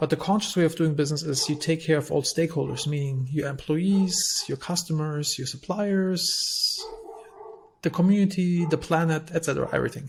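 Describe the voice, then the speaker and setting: Against noticeable background noise, a man with a German accent talks fairly quickly in a fairly high pitch with fairly even intonation. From Germany. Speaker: entrepreneur, company CEO. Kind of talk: podcast interview.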